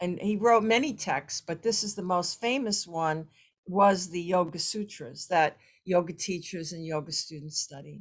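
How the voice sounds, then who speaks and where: With an American accent, a woman speaks at a moderate pace in a plain, everyday voice, fairly low in pitch with ordinary pitch variation. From United States. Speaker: yoga practitioner and former educator. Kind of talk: ceremony speech.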